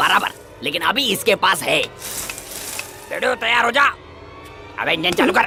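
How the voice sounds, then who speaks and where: Clear music plays in the background while a fairly high-pitched put-on character voice speaks at a moderate pace with long, frequent pauses. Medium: fan dub. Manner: swaggering, slangy.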